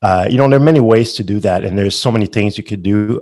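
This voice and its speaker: Fairly low in pitch, a man speaks with a Quebec accent. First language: French. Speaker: company founder. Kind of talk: interview. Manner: halting.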